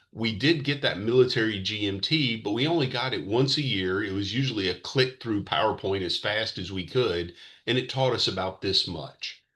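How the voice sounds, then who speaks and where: Against a quiet background, a man speaks with a Mississippi accent at a medium pitch. His intonation is lively and his tone bright and sharp. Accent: Southern US (Mississippi). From US South, Mississippi. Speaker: financial educator, retired military veteran. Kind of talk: presentation. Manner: fast; casual, joking.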